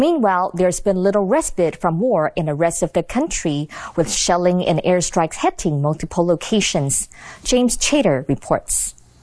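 The pace here is moderate. It is an unremarkable speaking voice. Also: woman, medium pitch for a woman. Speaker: news anchor. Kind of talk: news reading. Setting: studio. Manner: formal.

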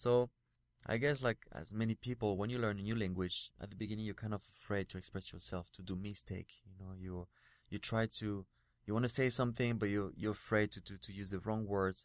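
In a French accent, a man talks at a fairly quick pace with a fairly low pitch, fairly even intonation and big swings in loudness, recorded dry and close with no echo against a quiet background. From France. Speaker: actor and model. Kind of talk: interview. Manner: halting.

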